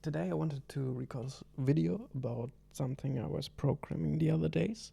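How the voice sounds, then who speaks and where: A man's somewhat breathy, medium-pitched voice with a non-native accent, very wide pitch swings and a fairly slow pace. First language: not English. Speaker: hobby programmer. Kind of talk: programming tutorial talk. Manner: hesitant, casual.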